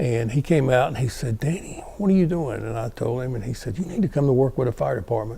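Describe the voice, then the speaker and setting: Speaking very fast with hardly any pauses, a man with a North Carolina accent uses lively intonation at medium pitch amid noticeable background noise. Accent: US Southern (North Carolina). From North Carolina, Guilford County. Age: 70s. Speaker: retired fire battalion chief. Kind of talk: oral history interview.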